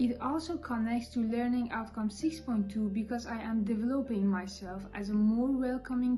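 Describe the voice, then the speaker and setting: With a non-native accent, a woman speaks at a moderate pace in a fairly high pitch with ordinary pitch variation over noticeable background noise. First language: not English. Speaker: student shift supervisor in hospitality. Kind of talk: student vlog presentation.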